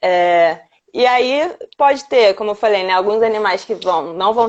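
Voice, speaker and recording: A plain, everyday voice comes from a woman at a medium pitch with ordinary pitch variation. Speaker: veterinarian. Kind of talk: live-stream lecture. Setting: live stream.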